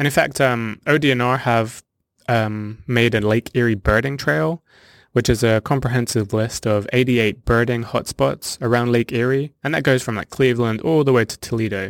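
Speaking at a moderate pace with ordinary pitch variation, a man with a southern English accent is heard in a dry, close sound with no echo, on a very clean recording with a silent background. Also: medium pitch for a man. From southern England (Hampshire). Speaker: naturalist. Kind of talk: interview.

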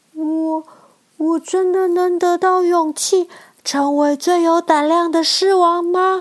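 This put-on character voice sits at an extremely high pitch, moving at a fairly slow pace with monotone, flat intonation. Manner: timid, hesitant.

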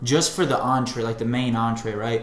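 A man speaks with audible room echo. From Bosnia. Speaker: podcast co-host. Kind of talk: casual chat.

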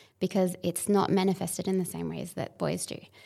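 Vocal fry runs through a woman's medium-pitched voice, which shows ordinary pitch variation. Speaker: podcast host. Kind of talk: casual chat.

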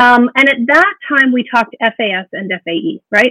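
Over background music, a woman with a Canadian accent speaks at a moderate pace with lively intonation. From Alberta, Canada. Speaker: education and social work consultant. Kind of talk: interview. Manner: animated, uses hand gestures.

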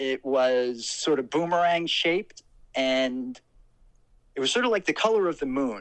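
Lively intonation marks this man's speech, delivered with a New Jersey accent. The background is quiet. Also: fairly high pitch for a man, fairly slow pace. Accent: New Jersey American. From US Northeast, Trenton, New Jersey. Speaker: paranormal story guest. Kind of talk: personal storytelling.

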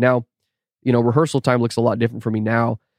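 Over a quiet background, a man with an American accent speaks at a medium pitch in a monotone, flat intonation, the sound dry and close with no echo. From US, Texas (North Austin). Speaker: student pastor and YouTube vlogger, drummer. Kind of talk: casual interview chat.

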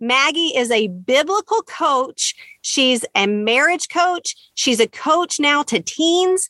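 A woman uses a raised, projected voice at a high pitch with very wide pitch swings, very even loudness, a very slow pace and hardly any pauses. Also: dry, close sound with no echo. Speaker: podcast host. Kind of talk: podcast interview, encouraging.

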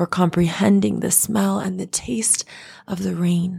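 A somewhat breathy woman's voice of medium pitch, dark and mellow in tone, with ordinary pitch variation on a very clean recording with a silent background. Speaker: podcaster. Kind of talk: fervent spoken prayer, poetic and rhythmic, reading a gratitude poem aloud. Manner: earnest, devout, impassioned, slow and rhythmic cadence with heartfelt emphasis.

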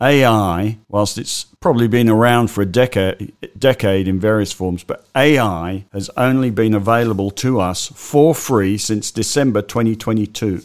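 Speaking in an Australian accent, a man keeps a moderate pace. His fairly low pitch shows ordinary variation. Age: 60s. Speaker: stock market commentator. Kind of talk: solo market update podcast.

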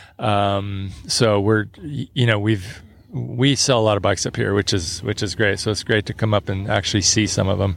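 At a moderate pace and with hardly any pauses, a man talks in a fairly low pitch with ordinary pitch variation. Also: very clean recording, silent background. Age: 60s. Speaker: bike company founder. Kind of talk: casual chat. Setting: outdoors.

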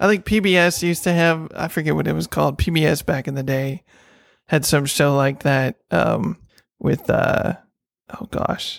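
This man has a plain, everyday voice, fairly high in pitch with ordinary pitch variation, speaking at a moderate pace in a dry, close sound with no echo. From Texas. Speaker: podcast co-host, pen maker. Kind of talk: casual chat.

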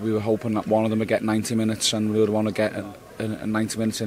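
The man's fairly low voice races along very fast while noticeable noise runs in the background. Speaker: football manager. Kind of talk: post-match interview.

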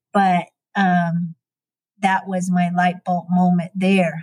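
A woman with a Navajo Nation accent speaks very slowly in a medium-pitched, somewhat breathy voice. Her intonation is monotone and flat, and the sound is dry and close with no echo. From Navajo Nation, US Southwest. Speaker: educator. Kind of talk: interview storytelling. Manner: hesitant with fillers.

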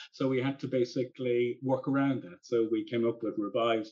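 This man has an Irish accent. He talks at a moderate pace. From Ireland. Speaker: aircraft registry business development director. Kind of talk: interview. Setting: remote call from London.

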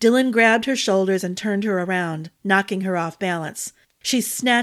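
Natural reading voice, ordinary variation in pitch, background quiet

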